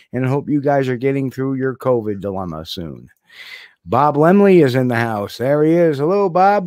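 Against a quiet background, a man speaks at a moderate pace with very wide pitch swings, the sound dry with no echo. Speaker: podcast host. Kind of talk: casual live show chat, reading viewer shout-outs. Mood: friendly, upbeat. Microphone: studio mic.

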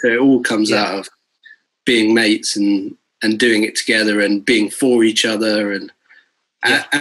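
With a quiet background behind him, a man speaks at a moderate pace. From Bristol, England; England. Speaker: guitarist and music producer; guest. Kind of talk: casual interview chat. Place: home room. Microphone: video call.

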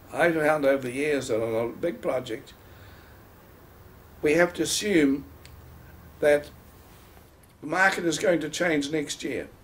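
Speaking with a New Zealand accent, a man uses ordinary pitch variation at a fairly slow pace with long, frequent pauses. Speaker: property valuer and developer. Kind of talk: interview answer. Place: home room. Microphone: camera far.

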